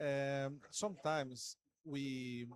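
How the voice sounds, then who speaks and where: A man speaks with a Portuguese accent in a fairly high pitch with ordinary variation. The sound is dry and close, with no echo. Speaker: panelist. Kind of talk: panel discussion.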